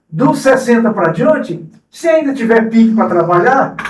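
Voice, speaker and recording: A man speaks at an extremely high pitch. There is audible room echo. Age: 60s. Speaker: cooperative president. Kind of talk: interview.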